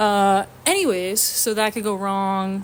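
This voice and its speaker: A woman talks at a medium pitch. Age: 20s. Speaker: podcast host. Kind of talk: casual solo chat. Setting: home apartment. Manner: rambling filler words, lots of um.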